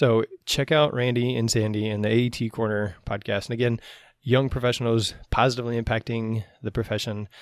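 Here a man with an ordinary speaking voice talks at medium pitch and a fairly quick pace, with ordinary pitch variation. The recording is very clean, with a silent background and a dry, close sound with no echo. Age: 40s. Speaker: athletic trainer and podcast host. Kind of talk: casual interview.

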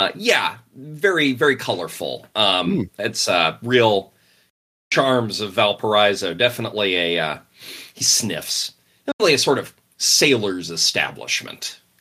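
A raspy, put-on character voice with lively intonation. The pace is fairly slow. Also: man, medium pitch for a man. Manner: sniffing, dismissive.

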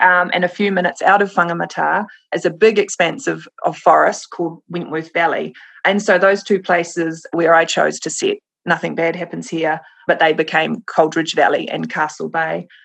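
Speaking at a moderate pace, a woman talks with a New Zealand accent. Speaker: crime novelist. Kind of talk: casual interview chat.

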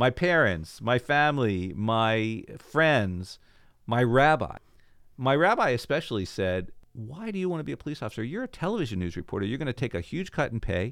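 A man with an American accent talks at a moderate pace in a medium pitch, his voice swinging very widely up and down. The recording is very clean, with a silent background. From Baltimore, Maryland, US. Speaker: cantor, former TV reporter and police officer. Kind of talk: interview storytelling.

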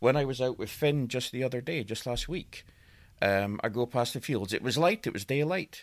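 A man with a Scottish accent at a moderate pace. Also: medium pitch for a man, ordinary pitch variation, very clean recording, silent background. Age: 40s. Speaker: guest storyteller. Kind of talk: casual chat.

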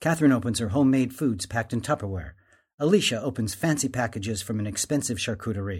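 A man talking at a very fast pace, somewhat breathy, medium in pitch with lively intonation, on a very clean recording with a silent background. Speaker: narrator reading stage directions. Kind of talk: reading aloud.

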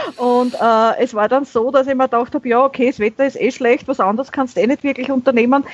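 A woman in a Viennese accent, high-pitched and fairly quick, with ordinary pitch variation. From Austria, Vienna. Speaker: YouTuber on minimalism. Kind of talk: casual chat.

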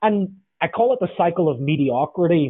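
This man has a Northern Irish accent and a fairly high pitch. His pitch varies in an ordinary way. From Northern Ireland. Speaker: leadership author and consultant. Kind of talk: interview.

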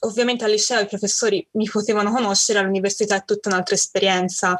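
This woman has a fairly high pitch and a normal speaking voice. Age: 20s. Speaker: university student sharing chronic illness story. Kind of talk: interview testimony.

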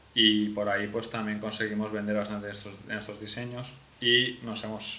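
Over noticeable background noise and audible room echo, a man speaks at a moderate pace with medium pitch. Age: 20s. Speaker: young entrepreneur and university student. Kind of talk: casual interview.

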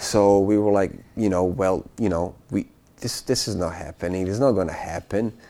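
A man speaks with a Bosnian accent in a fairly low pitch. His tone is dark and mellow, and his intonation stays fairly even. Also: moderate pace. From Bosnia (eastern, small town). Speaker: war refugee, finance worker. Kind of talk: interview testimony. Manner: halting, many fillers and repetitions.

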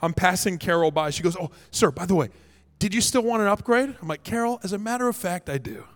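A man's high-pitched voice at a very fast pace. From Canada. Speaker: pastor. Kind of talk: sermon. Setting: church stage with congregation.

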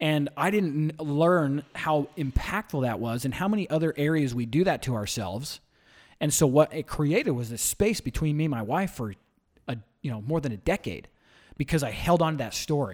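A man's fairly high, normal speaking voice with an American accent, moderate pace and lively intonation, on a very clean recording with a silent background. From US West, small-town southern Utah. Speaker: event promoter and former gym owner. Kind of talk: casual interview.

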